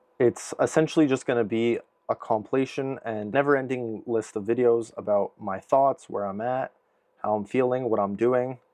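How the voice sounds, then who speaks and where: At a moderate speed, a man talks with a Canadian accent. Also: medium pitch for a man. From Vancouver, Canada. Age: 20s. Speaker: vlogger and online business operator. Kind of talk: casual vlog monologue. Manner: unscripted, hesitant with fillers.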